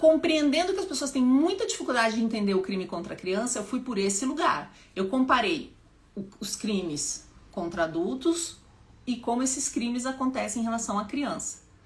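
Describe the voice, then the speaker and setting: A woman with a high, animated voice speaks at a moderate pace, her pitch swinging very widely, with noticeable background noise behind her. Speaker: public speaking teacher and activist. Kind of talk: live stream talk. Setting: live stream at home.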